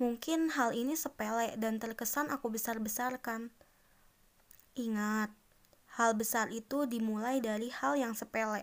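With an unremarkable speaking voice, a woman with a fairly high pitch talks at a fairly slow pace with ordinary pitch variation. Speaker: solo podcaster. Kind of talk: casual monologue.

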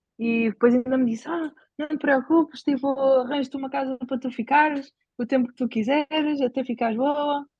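At a moderate pace, a woman with a high pitch speaks in a European Portuguese accent with fairly even intonation. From Portugal. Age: 20s. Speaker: bicycle traveller. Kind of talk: casual chat.

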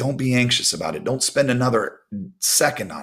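An ordinary speaking voice. The pace is fairly quick. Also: man. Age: 40s. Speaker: volleyball coach giving devotionals. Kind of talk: devotional talk. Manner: casual, conversational with fillers.

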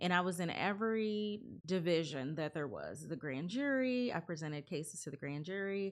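An ordinary speaking voice from a woman with an American accent, fairly low in pitch, with lively intonation, a moderate pace and hardly any pauses. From California and Ohio. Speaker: lawyer. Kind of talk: interview.

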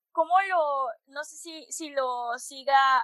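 A woman's high voice with fairly even intonation, in a dry, close sound with no echo. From Monterrey, northern Mexico. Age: 20s. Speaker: podcast host. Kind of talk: interview.

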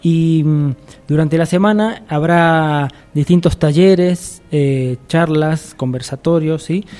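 This man talks very slowly with an Argentine accent. His voice is fairly high-pitched, with a dark, mellow tone. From Argentina. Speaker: musician and arts curator. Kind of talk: radio interview.

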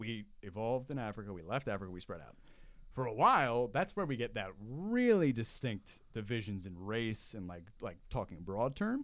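A man with an American accent and an ordinary speaking voice, medium pitch, ordinary pitch variation, big swings in loudness and a moderate pace, on a very clean recording with a silent background. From US Northeast, Long Island. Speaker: political commentator. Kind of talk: casual chat.

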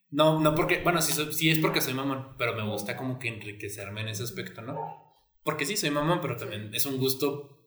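Audible room echo surrounds a man's voice. He speaks at medium pitch with lively intonation. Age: 20s. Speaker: podcast co-host. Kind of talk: casual chat.

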